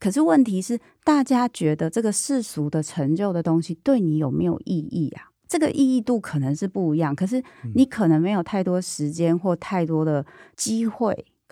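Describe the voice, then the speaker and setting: Female voice, dark and mellow in tone, at a moderate pace with very wide pitch swings, on a very clean, silent-background recording that is dry and close with no echo. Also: medium pitch for a woman. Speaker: podcast host and psychologist. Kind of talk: casual interview chat. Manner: animated.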